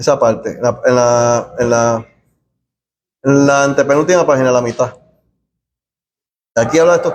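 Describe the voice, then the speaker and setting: Pausing long and often, a man with a fairly high pitch speaks with fairly even intonation. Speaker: Bible study teacher. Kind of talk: bible study class. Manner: fast; soft-spoken.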